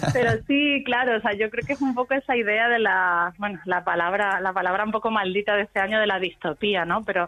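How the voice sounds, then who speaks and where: With an Extremaduran accent, a woman talks at a fairly quick pace and fairly high pitch with lively intonation over noticeable background noise. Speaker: musician. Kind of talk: radio interview.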